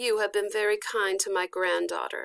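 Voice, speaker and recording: In a put-on character voice, a soft-spoken woman sounds raspy and weary, talking at a moderate pace and medium pitch. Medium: read story. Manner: soft, weary.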